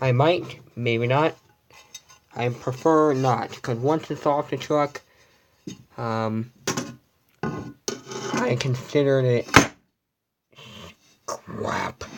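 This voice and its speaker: Speech comes quietly at a very slow pace, with fairly even intonation. Long, frequent pauses break it up. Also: man, medium pitch for a man. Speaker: vlogger. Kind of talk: casual room tour livestream. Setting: at home, in bedroom. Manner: quiet, hushed.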